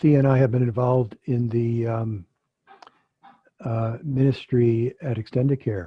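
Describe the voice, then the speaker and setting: A man speaks with an American accent and fairly even intonation. His voice is somewhat breathy. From US Midwest, Chicago. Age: 70s. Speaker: physician and theologian, guest speaker. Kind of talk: online talk with discussion. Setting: video call.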